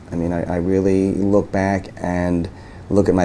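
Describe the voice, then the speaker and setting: A man with a very deep, low pitch talks at a moderate pace with fairly even intonation over noticeable background noise. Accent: American. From New York area, US. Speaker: lawyer. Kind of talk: oral history interview. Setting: law office. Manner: halting, many repetitions and fillers.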